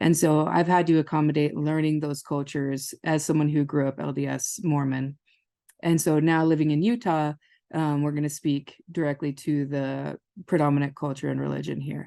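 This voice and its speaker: A woman with an American accent speaks at a moderate pace in a very deep, low pitch, with a dark, mellow tone and fairly even intonation over a quiet background. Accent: Minnesota long O's with some Southern y'all. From northern Minnesota. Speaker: family therapist. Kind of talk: webinar lecture. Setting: webinar.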